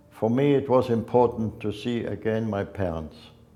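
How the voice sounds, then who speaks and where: A dark, mellow tone in a German accent at a fairly slow pace. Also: man. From Germany, Leipzig. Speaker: Holocaust survivor. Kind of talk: testimony.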